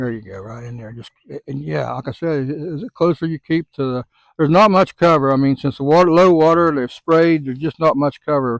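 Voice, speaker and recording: Over a quiet background, a man with a fairly high pitch talks at a fairly quick pace, with ordinary pitch variation and big swings in loudness. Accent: Southern US. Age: 70s. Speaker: fishing guide. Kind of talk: casual chat. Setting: outdoors. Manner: casual, repetitive fillers.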